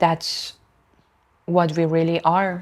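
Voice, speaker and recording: A woman with a non-native accent talks at a fairly slow pace and a fairly low pitch in a monotone, flat intonation, on a very clean recording with a silent background. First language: not English. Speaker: lifestyle vlogger. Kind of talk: casual monologue. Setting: at home, cat nearby. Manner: halting.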